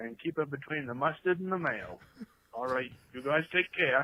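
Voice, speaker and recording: This man has a strong Maine accent and a fairly high pitch. He talks at a moderate pace. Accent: New England (Maine), strong. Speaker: listener leaving a voicemail. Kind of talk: voicemail message. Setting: phone voicemail.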